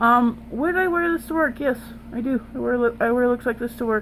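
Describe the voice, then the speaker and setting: A woman with an American accent speaks at a moderate pace and fairly high pitch, with ordinary pitch variation. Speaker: beauty vlogger. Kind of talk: makeup tutorial. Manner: casual, chatty.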